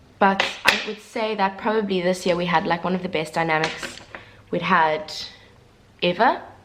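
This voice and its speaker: Against noticeable background noise, a woman talks at a moderate pace with medium pitch and fairly even intonation. She leaves long, frequent pauses. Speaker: vlogger and stage performer. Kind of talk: casual chat.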